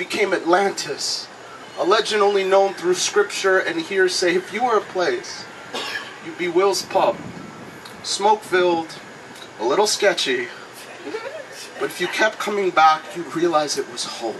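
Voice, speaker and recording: Against noticeable background noise, a man speaks at a moderate pace in a high voice, with ordinary pitch variation and long, frequent pauses. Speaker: slam poet. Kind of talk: slam poetry performance.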